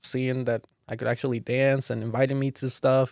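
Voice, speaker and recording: The speaking goes at a moderate pace. The recording is very clean with a silent background, and the sound is dry and close with no echo. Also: man. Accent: Spanish. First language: Spanish. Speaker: dancer and youth mentor. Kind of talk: casual podcast chat.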